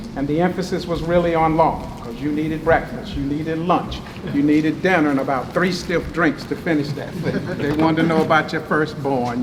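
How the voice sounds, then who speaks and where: Against noticeable background noise and audible room echo, a man with a Southern US accent speaks at a moderate pace, with a fairly high pitch and ordinary pitch variation. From eastern North Carolina. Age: 60s. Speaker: professor. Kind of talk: lecture. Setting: meeting room with audience. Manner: animated.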